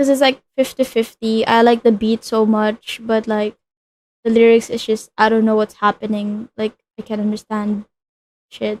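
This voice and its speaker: A woman with a non-native accent speaks in a fairly high, monotone voice with flat intonation, the sound dry and close with no echo. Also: moderate pace. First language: not English. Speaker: streamer. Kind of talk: casual chat. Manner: halting.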